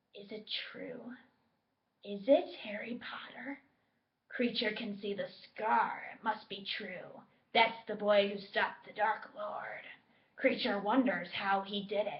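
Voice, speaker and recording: This is a put-on character voice. Long pauses come frequently. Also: woman, fairly high pitch for a woman, fairly slow pace. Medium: read story. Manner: muttering under breath, resentful.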